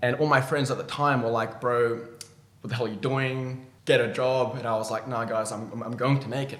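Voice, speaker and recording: A man talks at a fairly quick pace in an Australian accent. His intonation stays fairly even. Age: 20s. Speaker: ecommerce entrepreneur. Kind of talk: interview. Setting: in-person studio interview. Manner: halting.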